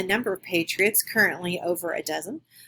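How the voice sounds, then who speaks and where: In a Midwestern American accent, a woman speaks at a medium pitch. Her tone is bright and sharp, with ordinary pitch variation. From western Kansas (Garden City). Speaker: graduate student. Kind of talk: recorded class presentation. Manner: halting.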